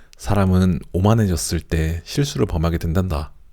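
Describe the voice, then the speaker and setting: Music plays in the background as a man speaks in a very deep, low pitch. His tone is calm and his pace fairly slow. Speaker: audiobook narrator. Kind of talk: audiobook reading for sleep. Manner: soft, calm.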